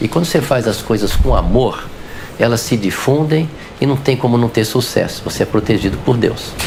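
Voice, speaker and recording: A man's voice holds very even loudness over noticeable background noise. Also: medium pitch for a man, ordinary pitch variation, moderate pace. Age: 60s. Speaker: physician. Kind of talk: interview.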